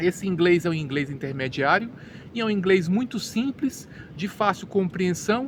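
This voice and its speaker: Using a Brazilian accent, a man with a high voice speaks at a moderate pace with lively intonation. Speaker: English teacher. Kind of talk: educational monologue. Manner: halting, with repeated words.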